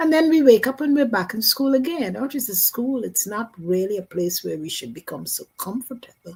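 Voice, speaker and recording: The tone is dark and mellow, with some breathiness. Pitch swings very widely. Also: woman. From Guyana. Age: 80s+. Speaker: near-death experiencer. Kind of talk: testimony.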